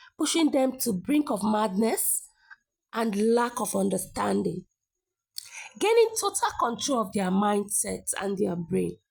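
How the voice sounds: A woman's voice with vocal fry and a slightly husky edge, big pitch swings, and a fairly slow pace.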